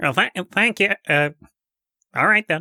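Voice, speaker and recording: Middle-pitched, put-on character voice. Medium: solo performance. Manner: hesitant, stammering, deferential.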